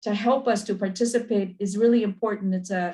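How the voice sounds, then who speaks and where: Somewhat breathy, a woman speaks at a medium pitch and a moderate pace. Her intonation stays fairly even. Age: 70s. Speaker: farm worker advocate. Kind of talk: webinar welcome remarks.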